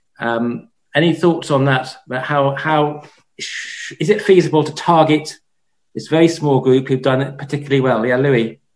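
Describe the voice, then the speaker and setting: At a moderate pace, a man with a fairly high pitch talks in an ordinary speaking voice, with ordinary pitch variation. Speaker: sociology professor, seminar moderator. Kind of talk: academic seminar moderation. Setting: video call.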